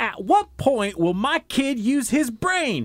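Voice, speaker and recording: The speaker uses a put-on character voice with a fairly high pitch and a fairly slow pace. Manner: exasperated, complaining.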